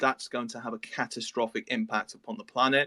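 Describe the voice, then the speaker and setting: Lively intonation from a man with an English accent, a medium pitch, a bright, sharp tone and a fairly quick pace, in a dry, close sound with no echo. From England. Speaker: project team member on a metaverse cruise project. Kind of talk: interview on a live audio space. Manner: hesitant, many fillers and repetitions.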